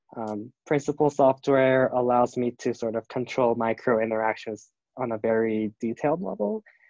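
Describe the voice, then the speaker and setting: A man's medium-pitched voice with a Korean accent, fairly even intonation and a moderate pace, in a dry, close sound with no echo. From South Korea. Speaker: design student and product designer. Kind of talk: interview. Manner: halting, many fillers.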